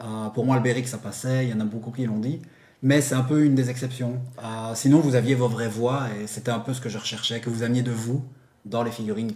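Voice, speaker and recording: The voice has a dark, mellow tone and is somewhat breathy. Its intonation is monotone and flat, and audible room echo surrounds it. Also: man, medium pitch for a man, fairly quick pace. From Belgium. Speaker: YouTuber, figure collector channel host. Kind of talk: casual interview.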